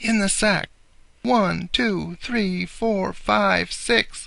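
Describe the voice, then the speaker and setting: A put-on character voice speaks at a very slow pace. The background is quiet. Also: man, high pitch for a man. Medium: read story. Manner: gloating, chuckling.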